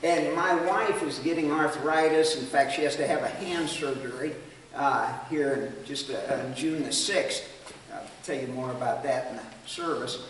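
The speech comes at a fairly slow pace, with audible room echo and light background noise. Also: man. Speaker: missionary. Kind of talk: Sunday school Bible teaching. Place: hall. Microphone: camera far.

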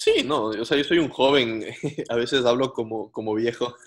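A fairly slow pace over a quiet background. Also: man. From Ecuador. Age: 20s. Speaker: racing driver; interviewee. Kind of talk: interview. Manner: halting, many fillers. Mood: relaxed, reflective, sometimes cheerful. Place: home room. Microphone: video call.

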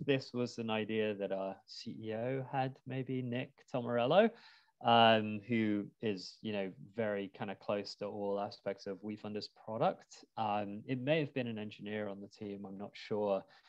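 A moderately paced voice with a British accent, big swings in loudness, ordinary pitch variation and a quiet background. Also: man. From UK. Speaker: crowdfunding platform executive. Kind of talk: webinar interview. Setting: video call. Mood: relaxed, friendly. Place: home room. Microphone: earbuds.

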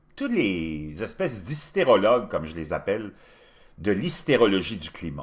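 A man talks at a moderate pace with a quiet background behind him. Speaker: commentary show host. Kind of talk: commentary.

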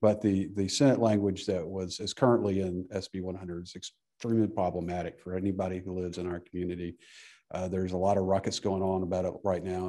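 Against a quiet background, a man talks at a fairly quick pace with a very deep, low pitch and a dark, mellow tone. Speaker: public witness. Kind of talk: committee testimony. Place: hall. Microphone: podium.

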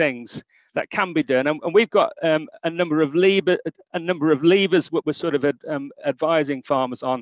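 Against a quiet background, a man talks fairly quickly in a high voice, the sound dry with no echo. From England. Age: 50s. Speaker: dairy farmer; conference presenter. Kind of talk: conference presentation. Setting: video call. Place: home room. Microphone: webcam.

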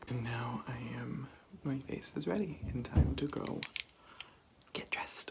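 A man whispers at a fairly slow pace, leaving long, frequent pauses. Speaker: vlogger and stage performer; theatre vlogger. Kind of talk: vlog, casual monologue to camera. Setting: home, filming vlog. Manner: animated, excitable. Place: bathroom. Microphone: phone near.

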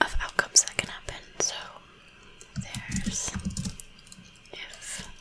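Whispering at a fairly slow pace, with long, frequent pauses. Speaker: ASMR creator, coding tutor. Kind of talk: ASMR coding tutorial. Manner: whispered.

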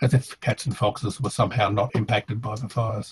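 A man with an Australian accent talks at a moderate pace, his voice somewhat breathy. His pitch variation is ordinary, and the background is quiet. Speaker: environmental scientist and academic. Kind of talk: pre-recorded presentation. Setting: video call. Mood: somber, concerned. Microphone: headset.

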